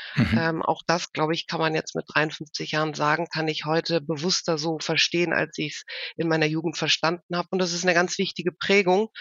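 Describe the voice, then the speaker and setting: Fairly low-pitched with fairly even intonation, a woman talks at a fairly quick pace in an unremarkable speaking voice. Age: 50s. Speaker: HR executive. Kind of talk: interview. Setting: video call.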